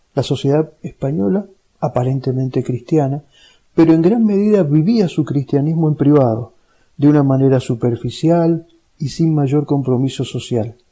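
This man's fairly high-pitched voice has a dark, mellow tone and a somewhat breathy quality, with ordinary pitch variation at a moderate pace. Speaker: lay religious teacher. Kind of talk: lecture. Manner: clear, didactic.

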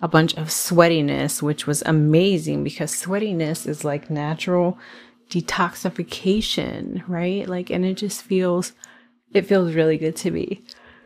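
A woman talks at a fairly slow pace in a plain, everyday voice. Her pitch is fairly low and her intonation fairly even. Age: 40s. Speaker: podcast host, health coach and nurse. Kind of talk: casual solo podcast monologue. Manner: relaxed, conversational with frequent fillers.

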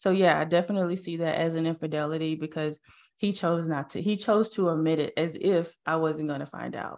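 A woman with a normal speaking voice and a fairly low pitch talks at a fairly quick pace with fairly even intonation against a quiet background. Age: 40s. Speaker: mindset strategist and podcaster. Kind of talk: interview. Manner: casual, with many fillers.

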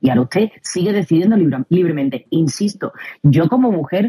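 This woman speaks at a moderate pace with a fairly low pitch and very wide pitch swings. The sound is dry and close, with no echo. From Spain. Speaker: co-host. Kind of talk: casual chat. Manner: animated.

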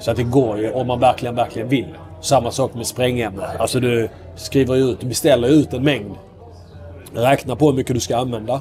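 There is noticeable background noise as a man speaks at a medium pitch. His pace is fairly quick and his intonation fairly even. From southern Sweden, Skåne (Ystad). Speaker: military officer, friend of a missing person. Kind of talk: interview conversation. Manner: halting.

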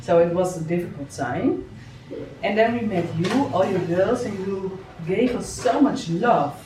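With a Dutch accent, a woman at medium pitch speaks fairly slowly with lively intonation, amid noticeable background noise and audible room echo. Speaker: podcast host and success coach. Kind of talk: interview. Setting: on location at a children's home in Bali.

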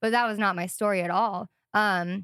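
The recording is very clean, with a silent background and a dry, close sound with no echo. A woman speaks in a monotone, flat way with an American accent. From US Midwest (Sioux Falls, South Dakota). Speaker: ministry student and worship leader. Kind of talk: casual interview. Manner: hesitant, many fillers.

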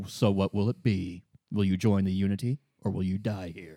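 A man puts on a character voice at a fairly low pitch. He keeps a moderate pace. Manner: pleasant, calm.

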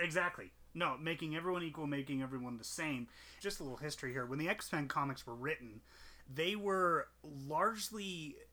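A man's bright, sharp, playful voice, fairly high in pitch, with lively intonation. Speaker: podcast co-host. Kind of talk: casual banter podcast chat. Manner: joking, playful.

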